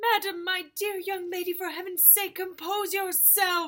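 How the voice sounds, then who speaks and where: A woman shouts in a shaky, put-on character voice, extremely high in pitch yet monotone and flat. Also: moderate pace. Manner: trembling scream, pleading.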